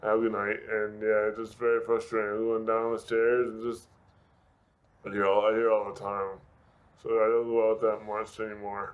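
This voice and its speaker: Speaking at a moderate pace, a man keeps a medium pitch in a monotone, flat intonation. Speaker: car crash survivor, motivational speaker. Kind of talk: interview. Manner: halting, slurred speech from brain injury.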